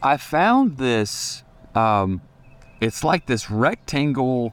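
A man speaks at a medium pitch with a Southern US accent and ordinary pitch variation. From Tennessee, Franklin. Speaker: student pastor and children's author. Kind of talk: casual chat. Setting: outdoors.

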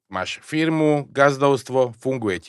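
With an unremarkable speaking voice, a man talks at a fairly slow pace and a fairly high pitch, his intonation lively, in a dry, close sound with no echo. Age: 40s. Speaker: podcast host. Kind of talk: interview.

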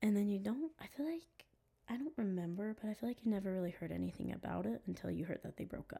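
A woman talks at a very fast pace with very wide pitch swings. Her tone is dark and mellow and somewhat breathy. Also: medium pitch for a woman. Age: 20s. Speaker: pop music fan guest. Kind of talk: casual chat.

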